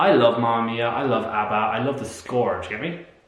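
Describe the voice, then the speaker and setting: A man with an Irish accent, animated and very fast, amid noticeable background noise and audible room echo. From Ireland. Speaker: musical theatre vlogger. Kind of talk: casual review vlog.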